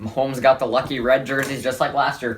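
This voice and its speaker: Noticeable background noise around a man's voice of medium pitch. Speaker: sports vlogger. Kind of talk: sports analysis vlog. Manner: casual, rambling with fillers.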